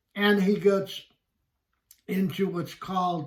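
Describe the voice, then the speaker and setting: A man speaks in a somewhat breathy voice. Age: 70s. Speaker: book reviewer and author. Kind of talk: video monologue book review. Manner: halting, with fillers.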